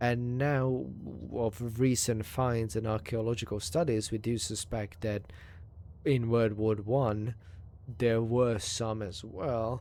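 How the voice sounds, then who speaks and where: A man with a Hungarian accent speaks at a very slow pace. His tone is dark and mellow, and his intonation is fairly even. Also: medium pitch for a man. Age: 30s. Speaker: video game streamer. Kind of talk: live gameplay commentary with reading aloud. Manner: halting, stumbles over words.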